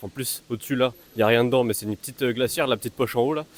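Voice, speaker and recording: Recorded with a dry, close sound and no echo, a man speaks at a very fast pace. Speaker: fitness vlogger. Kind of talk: vlog. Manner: casual, filler-heavy.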